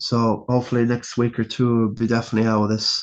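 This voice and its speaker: A man's Irish accent comes through as he speaks fairly quickly. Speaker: fantasy football podcaster. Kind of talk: casual solo review. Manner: casual, halting.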